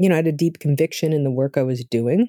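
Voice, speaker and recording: The sound is dry and close with no echo as a woman speaks in a dark, mellow tone. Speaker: novelist. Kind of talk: interview conversation. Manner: sounds authoritative.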